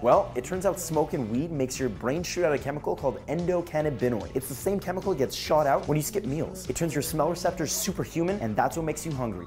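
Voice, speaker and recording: A man with a fairly high pitch at a very fast pace, hardly any pauses, lively intonation and an upbeat tone, with music in the background. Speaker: web news show host. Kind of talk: comedic news segment to camera. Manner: upbeat, jokey.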